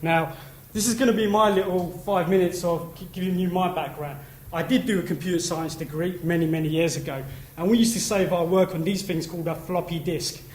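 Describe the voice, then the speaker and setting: Amid noticeable background noise and audible room echo, a man talks at a high pitch with fairly even intonation. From East London. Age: 30s. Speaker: conference speaker, industry trade body representative. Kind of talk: conference talk. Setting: stage with audience. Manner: casual, chatty.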